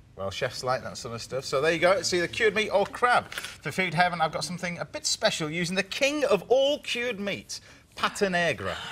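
Over light background noise, a man talks at a fairly quick pace with hardly any pauses and very wide pitch swings. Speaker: TV show host. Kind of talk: interview questions and presenting. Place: studio. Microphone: lapel.

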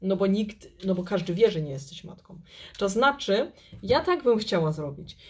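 Speaking at a moderate pace, a somewhat breathy woman uses lively intonation with big swings in loudness. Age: 40s. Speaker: tarot reader and YouTube channel host; tarot reader, YouTube channel host. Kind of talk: tarot card reading video. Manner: halting, hesitant, with filler words. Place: home room. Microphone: phone near.

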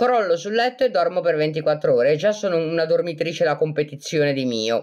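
Intonation here is lively. The pace is moderate. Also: woman. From Italy, Genoa (Liguria). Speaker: self-described medium and live streamer. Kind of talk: casual live-stream chat answering viewer comments. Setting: live video stream on social media. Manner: animated, laughs often.

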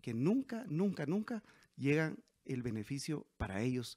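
An unremarkable speaking voice moves at a fairly slow pace with lively intonation. The background is quiet. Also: man. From Guatemala, Quetzaltenango; Guatemala. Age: 40s. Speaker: mayoral candidate; candidate. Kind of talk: interview. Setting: at home. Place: home room. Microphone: handheld.

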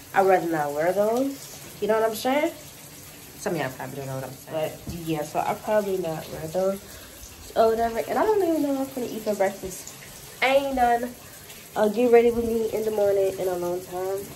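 A woman speaks at a fairly quick pace. Light background noise can be heard. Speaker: vlogger. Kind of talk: casual vlog chat.

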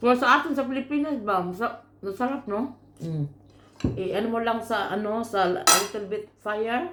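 A woman talks at a moderate pace with a bright, sharp tone. Her fairly high voice moves with lively intonation. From Philippines, Camotes Islands (Cebu). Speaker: vlogger. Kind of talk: casual vlog talk. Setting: at home eating.

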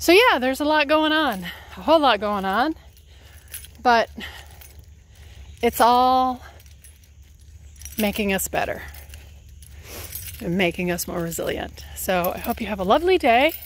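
The speaker keeps a moderate pace with very wide pitch swings and long, frequent pauses, and the sound is dry with no echo. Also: woman. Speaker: health coach. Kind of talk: casual vlog chat. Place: forest. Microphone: earbuds.

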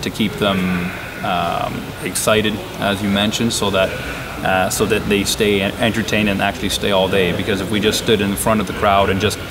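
Through noticeable background noise, the man speaks at a moderate speed. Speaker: auctioneer. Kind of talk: interview answer. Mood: relaxed, explanatory. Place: hall.

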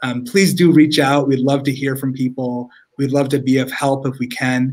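A man talks at a moderate pace in a monotone, flat delivery. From Rochester, upstate New York. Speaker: state senator. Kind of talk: interview answer. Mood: warm, friendly. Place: home room.

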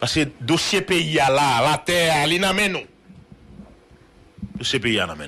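A man talks at a very slow pace, with long, frequent pauses and big swings in loudness. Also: lively intonation. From Haiti. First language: Haitian Creole (speaking French). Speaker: news show host. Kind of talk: political rant. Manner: animated. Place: home room. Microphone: studio mic.

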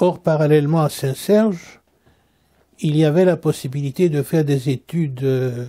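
The man's pitch is fairly high, with ordinary pitch variation. His tone is dark, mellow and somewhat breathy. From Central Africa (eastern Belgian Congo). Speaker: Orthodox metropolitan bishop. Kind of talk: interview reminiscence. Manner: halting, frequent hesitations.

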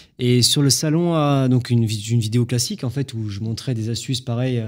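A man talks at a moderate speed, his pitch varying in an ordinary way, with a quiet background. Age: 20s. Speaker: drywall jointer and content creator; content creator. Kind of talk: casual chat. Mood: calm, relaxed storytelling. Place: studio. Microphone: studio mic.

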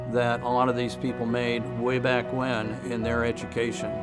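A man talks at a moderate speed while clear music sounds in the background. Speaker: prostate cancer survivor; spin class instructor. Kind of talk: patient testimonial interview answer. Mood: calm, grateful. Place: studio. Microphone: lapel.

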